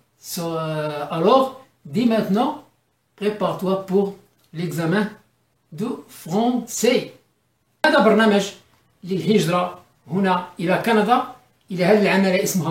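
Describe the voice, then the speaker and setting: A somewhat breathy woman with an Arabic accent, medium in pitch, with lively intonation, a very slow pace and long, frequent pauses. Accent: self-described weak French, Arabic-tinged. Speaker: immigrant giving advice. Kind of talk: informal tutorial video. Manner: halting, many repetitions and fillers.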